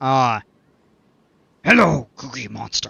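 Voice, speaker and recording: A raspy, gravelly put-on character voice from a man at a medium pitch. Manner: playful, greeting.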